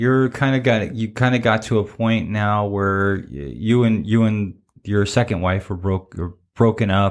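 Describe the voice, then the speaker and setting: Against a silent background on a very clean recording, a man talks at a fairly slow pace in a medium pitch with an unremarkable speaking voice. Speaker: podcast co-host. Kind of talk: casual interview. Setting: studio. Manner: chatty, warm, filler words.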